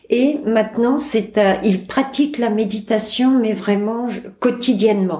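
Very slow, fairly high female speech with ordinary pitch variation over noticeable background noise. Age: 60s. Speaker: cancer patient. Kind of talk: testimony.

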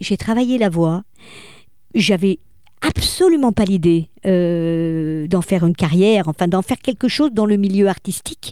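A woman speaks at a very slow pace with a dark, mellow tone and lively intonation. The sound is dry and close, with no echo. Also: very clean recording, silent background. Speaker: voice coach and speaker. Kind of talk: interview. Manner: animated.

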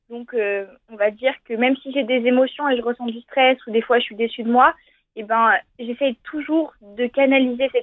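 Speaking at a moderate pace, a woman uses a high pitch with monotone, flat intonation. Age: 20s. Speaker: sport shooter. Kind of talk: interview.

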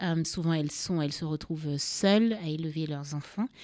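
A woman with a normal speaking voice and a fairly low pitch speaks at a moderate pace, recorded very cleanly against a silent background, with a dry, close sound and no echo. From Cameroon. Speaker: writer and mental health foundation founder. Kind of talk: radio interview. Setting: studio.

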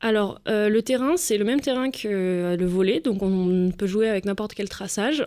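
Recorded very cleanly against a silent background, a normal speaking voice moves at a fairly slow pace with ordinary pitch variation. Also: woman. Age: 20s. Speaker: visually impaired goalball athlete. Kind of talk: radio interview.

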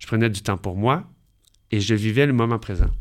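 A man's fairly low, normal speaking voice with ordinary pitch variation, on a very clean recording with a silent background. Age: 40s. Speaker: dancer and life coach. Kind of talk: radio interview. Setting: radio studio.

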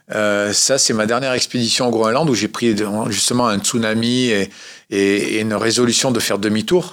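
This man has a plain, everyday voice at a medium pitch. He talks at a moderate pace with fairly even intonation and very even loudness. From Corsica. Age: 50s. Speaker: adventurer and motivational speaker. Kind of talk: radio interview.

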